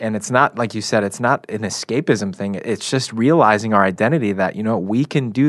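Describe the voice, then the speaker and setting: Over a quiet background, a man with an American accent talks at a fairly quick pace in a normal speaking voice, medium in pitch with ordinary pitch variation. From Chicago area. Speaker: camp program director. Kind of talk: faith discussion on radio.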